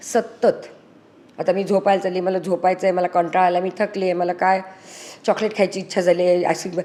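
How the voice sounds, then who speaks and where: Medium in pitch, a woman's voice carries a dark, mellow tone. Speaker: spiritual speaker. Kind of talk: motivational talk, spiritual pep talk. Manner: earnest, animated, persuasive; fluent, mixes English words into Marathi.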